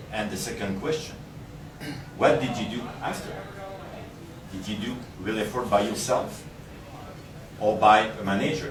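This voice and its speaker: The speaker has a Quebec accent, ordinary pitch variation and a moderate pace, with long, frequent pauses. Room echo and noticeable background noise are audible. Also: man, fairly low pitch for a man. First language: French. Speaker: investment structuring specialist. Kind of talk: presentation to audience.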